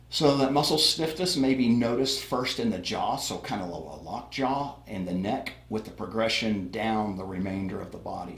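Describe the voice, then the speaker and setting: Audible room echo surrounds a man whose medium-pitched voice has lively intonation. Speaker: paramedic instructor. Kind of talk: lecture. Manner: fast; casual, with fillers.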